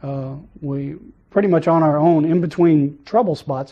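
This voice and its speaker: A man with an American accent, a fairly high pitch, ordinary pitch variation and a normal speaking voice. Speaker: Vietnam war veteran, former Marine rifleman. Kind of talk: interview answer.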